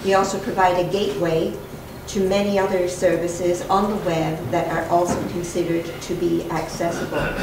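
A woman speaks at a moderate pace in a fairly low pitch, her intonation monotone and flat. There is noticeable background noise and audible room echo. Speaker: library representative / presenter. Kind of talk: conference presentation. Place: meeting room. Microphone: podium.

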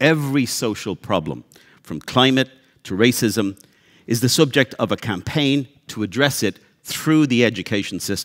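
Lively intonation marks this man's speech, delivered at a moderate pace. Behind him it is quiet. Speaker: panel moderator. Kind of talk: panel introduction. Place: hall. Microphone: headset.

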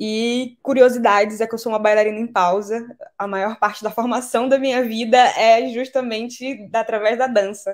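Against a quiet background, a woman with a fairly high pitch keeps her intonation fairly even at a moderate pace. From Brazilian Amazon (Belém, Pará / Macapá, Amapá). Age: 20s. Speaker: climate justice speaker, biologist. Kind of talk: online lecture. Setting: live online video class. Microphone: webcam.

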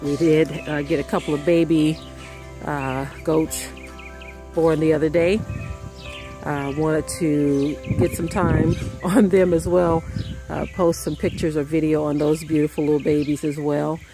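The speech moves at a moderate pace, broken by long, frequent pauses. Clear music plays behind it, and the sound is dry with no echo. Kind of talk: casual vlog chat. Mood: relaxed, cheerful. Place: garden. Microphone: phone near.

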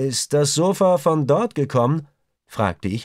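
Captured on a very clean recording with a silent background, the man's voice sounds dry and close, without any echo. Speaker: audiobook narrator. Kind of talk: audiobook reading, dramatic narration with character dialogue. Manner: gripping, suspenseful, tense, with varied pacing and voices for characters.

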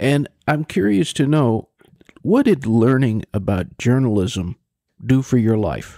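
A man with a dark, mellow tone and lively intonation, on a very clean, silent-background recording with dry, close sound and no echo. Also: medium pitch for a man, fairly slow pace. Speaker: interview show host. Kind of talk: interview.

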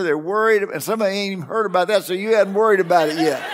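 With music in the background, a man talks at a high pitch with ordinary pitch variation. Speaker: pastor preaching. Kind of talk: sermon. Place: church. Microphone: headset.

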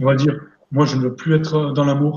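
A man with a fairly high pitch and a somewhat breathy voice speaks in a monotone, flat intonation, with audible room echo and light background noise. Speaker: energy therapist and coach; coach. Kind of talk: live interview, talking about therapy. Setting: live online stream. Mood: calm, earnest. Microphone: video call.

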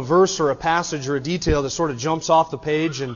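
Over a quiet background, a man speaks at a very fast pace with fairly even intonation. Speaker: pastor. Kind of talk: sermon. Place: church.

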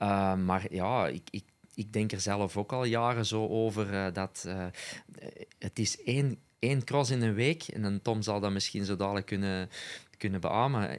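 A man talks at a fairly slow pace. His pitch is fairly low, with ordinary variation. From Belgium, Essen (Antwerp Kempen); Belgium. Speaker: former cyclocross rider and co-commentator; co-commentator. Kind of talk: casual chat. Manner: hesitant, many filler sounds. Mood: relaxed, smiling. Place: studio. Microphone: studio mic.

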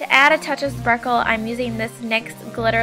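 A woman speaks at a fairly quick pace with music playing in the background. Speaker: beauty vlogger. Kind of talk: tutorial voice-over.

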